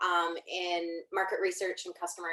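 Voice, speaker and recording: Speaking with a Canadian accent, a woman keeps a moderate pace and a fairly low pitch. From Canada. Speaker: customer success leader. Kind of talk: panel discussion.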